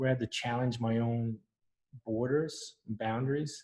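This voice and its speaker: This man's voice has a dark, mellow tone, somewhat breathy and delivered with monotone, flat intonation. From Newfoundland, Canada. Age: 50s. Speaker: architect. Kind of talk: interview talk. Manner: halting.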